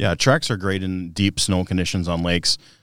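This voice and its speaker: A man with a Minnesota accent and a very deep, low pitch speaks at a fairly quick pace with fairly even intonation, in a very clean recording with a silent background. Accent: Upper Midwest (northern Minnesota). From northern Minnesota. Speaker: product manager and ice fisherman. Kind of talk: casual interview. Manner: halting, many fillers.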